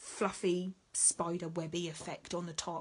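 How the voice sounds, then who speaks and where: A woman talks with an English accent. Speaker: needle felting teacher. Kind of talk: tutorial. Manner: casual, chatty.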